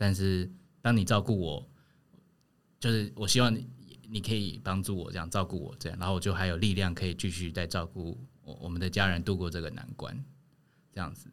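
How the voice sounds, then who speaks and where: This man talks at a moderate pace with a fairly low pitch. His pitch variation is ordinary. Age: 30s. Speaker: family caregiver. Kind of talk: casual chat. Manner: hesitant, many fillers.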